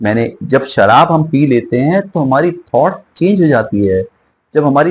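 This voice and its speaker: Moderately paced, a man's speech carries lively intonation. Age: 60s. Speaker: singer and spiritual speaker. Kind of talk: interview.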